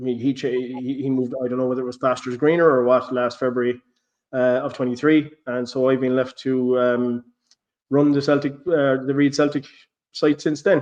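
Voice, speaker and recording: A man with an Irish accent speaks at a medium pitch and moderate pace, his intonation monotone and flat. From Ireland. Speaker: football blogger, podcast host. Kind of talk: casual chat. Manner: halting, frequent repetitions.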